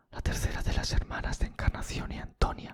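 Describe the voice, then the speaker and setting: A man whispers at a fairly slow pace. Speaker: ASMR true crime storyteller. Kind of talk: ASMR true crime storytelling, narrated in a hushed tone. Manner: whispered, soft.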